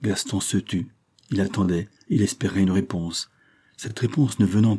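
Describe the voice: Simple, plain reading aloud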